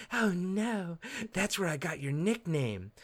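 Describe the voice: In a raspy put-on character voice at a middle pitch, the speaker moves at a fairly slow pace.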